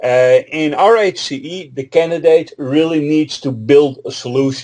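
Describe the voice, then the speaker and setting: In a Dutch accent, the speaker moves at a moderate pace with a dark, mellow tone, ordinary pitch variation and big swings in loudness. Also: man, fairly high pitch for a man. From Netherlands. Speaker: Linux trainer and author. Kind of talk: interview.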